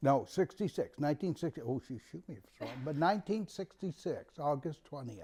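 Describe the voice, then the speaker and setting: The voice moves at a fairly quick pace with lively intonation and a somewhat breathy, dark, mellow tone. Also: man. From Maine, Winterport near Bangor. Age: 70s. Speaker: local resident recalling town history. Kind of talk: oral history interview.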